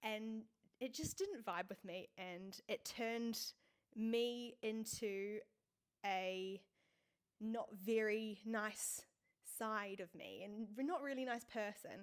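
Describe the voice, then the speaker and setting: Very slow, with long, frequent pauses, a woman speaks in a fairly high voice with fairly even intonation. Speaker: vlogger, fitness content creator. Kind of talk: personal vlog monologue. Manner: loud.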